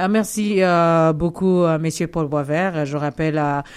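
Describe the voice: Fairly even intonation at a fairly slow pace. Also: woman, low pitch for a woman, slightly mellow tone.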